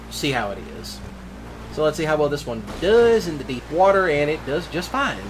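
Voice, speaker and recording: Amid audible room echo and noticeable background noise, a man talks at a moderate pace with lively intonation and a fairly high pitch. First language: Cajun French. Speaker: gaming YouTuber. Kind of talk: gameplay commentary. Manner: casual, rambling with fillers.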